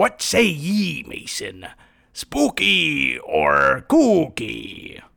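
Using a put-on character voice, a man delivers his lines. The pace is very slow. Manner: spooky, playful.

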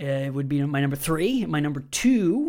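On a very clean recording with a silent background, a man with an unremarkable speaking voice and fairly high pitch talks at a fairly slow pace. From US Midwest, Wisconsin. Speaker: host and comedian. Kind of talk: casual chat.

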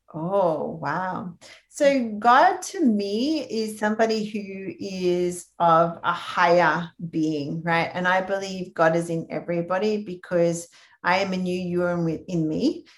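Fairly slow delivery in an Australian accent, with ordinary pitch variation. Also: woman, medium pitch for a woman. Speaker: health practitioner. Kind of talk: interview.

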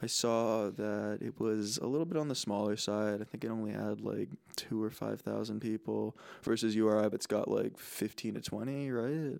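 A man with an American accent speaks in a plain, everyday voice, fairly low in pitch and moderate in pace, on a very clean recording with a silent background. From New Jersey. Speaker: college student podcast co-host. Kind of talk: casual chat.

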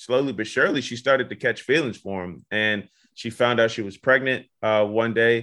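This man has an ordinary speaking voice, a fairly low pitch, fairly even intonation and a moderate pace. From Virginia, US. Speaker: journalist and author. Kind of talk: interview. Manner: conversational with frequent fillers.

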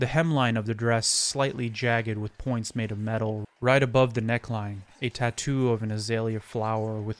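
Fairly even intonation in a plain read-aloud delivery.

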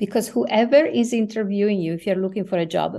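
A woman with a non-native accent speaks in a dark, mellow tone with ordinary pitch variation against a quiet background. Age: 60s. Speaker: former international organization executive. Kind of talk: interview.

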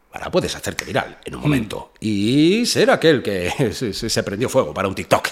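A man talks at a moderate pace with medium pitch. His voice makes very wide pitch swings. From Spain, Madrid area (Fuenlabrada). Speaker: rapper. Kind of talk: casual chat. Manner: animated.

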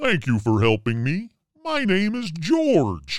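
A man's put-on character voice, high-pitched and delivered at a fairly slow pace. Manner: friendly, warm.

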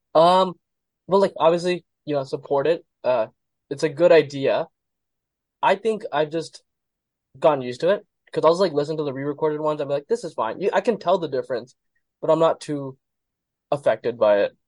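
A man with a fairly high pitch and ordinary pitch variation speaks at a fairly quick pace with long, frequent pauses, in a dry, close sound with no echo. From Arizona. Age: 20s. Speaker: pre-med student. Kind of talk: casual chat.

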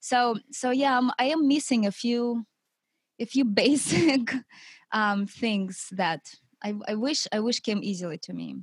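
With a Russian accent, a woman speaks very slowly in a fairly high, somewhat breathy voice with lively intonation, the sound dry and close with no echo. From Siberia, Russia. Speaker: wife of author and coach. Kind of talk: casual interview.

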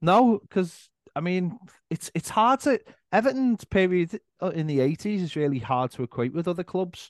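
Against a quiet background, a man with a Liverpool accent speaks at a moderate pace and high pitch, with very wide pitch swings and a dry, close sound with no echo. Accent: Scouse. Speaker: football fan content creator. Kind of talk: casual chat.

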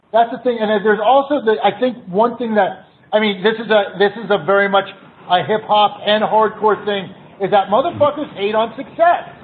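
Noticeable background noise sits behind a man with a high voice and ordinary pitch variation. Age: 40s. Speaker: music booking agent. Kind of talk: casual chat.

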